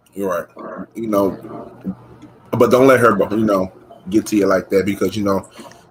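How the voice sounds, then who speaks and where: The speaker uses monotone, flat intonation with long, frequent pauses. Noticeable background noise runs throughout. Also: man, fairly low pitch for a man, moderate pace. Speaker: podcast guest. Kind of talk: casual chat.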